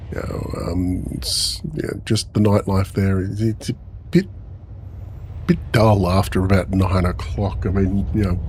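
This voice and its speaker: With an Australian accent and a very deep, low pitch, a man speaks at a fairly slow pace and fairly even intonation amid noticeable background noise. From Australia, Melbourne. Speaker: gaming streamer. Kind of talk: casual live-stream chat. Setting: live stream. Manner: halting, many fillers.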